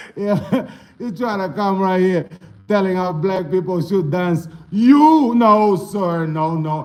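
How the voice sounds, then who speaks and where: Lively intonation runs through the man's speech. His voice picks up audible room echo. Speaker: dance instructor live-streaming. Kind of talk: casual livestream chat reacting to comments. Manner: animated.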